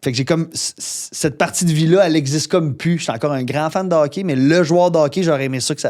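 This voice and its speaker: Speaking at a very fast pace, a man with a fairly high pitch keeps a fairly even intonation on a very clean recording with a silent background. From Quebec, Gaspésie. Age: 30s. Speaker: podcast host. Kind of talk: casual chat.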